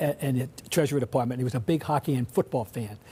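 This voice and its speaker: Somewhat breathy, a man talks at a very fast pace with ordinary pitch variation, on a very clean recording with a silent background. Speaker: sports writer. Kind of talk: interview. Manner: halting, many restarts.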